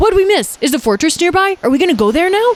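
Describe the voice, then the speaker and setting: Put-on character voice at an extremely high pitch and a very fast pace. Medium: read story.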